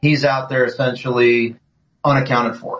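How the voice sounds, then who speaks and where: At a moderate pace, a man speaks with a somewhat breathy voice and fairly even intonation. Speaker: former soldier, veteran. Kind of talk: interview.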